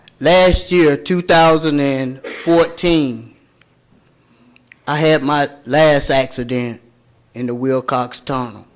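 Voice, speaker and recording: A man with a Tennessee accent speaks at a very slow pace. His pitch is fairly high, and he takes long, frequent pauses. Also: ordinary pitch variation. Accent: Southern US (Tennessee). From Chattanooga, Tennessee (US South). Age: 60s. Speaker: public commenter. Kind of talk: public comment at council meeting.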